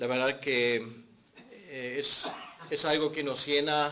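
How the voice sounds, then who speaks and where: A man with a German accent, fairly high in pitch, very slow and fairly even in intonation, amid noticeable background noise and audible room echo. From Germany. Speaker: pastor and seminary teacher. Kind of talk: conference talk.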